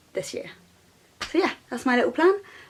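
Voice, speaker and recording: A woman's intonation is lively, and noticeable noise is present in the background. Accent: British. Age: 20s. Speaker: freelance illustrator. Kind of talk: casual vlog talk to camera. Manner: rambling, hesitant.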